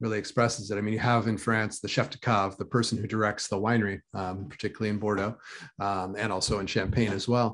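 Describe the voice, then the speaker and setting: A man with an American accent speaks at a very fast pace. His fairly low pitch carries monotone, flat intonation. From US West, Lake Tahoe (California/Nevada). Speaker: sommelier and restaurant wine director. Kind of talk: interview conversation.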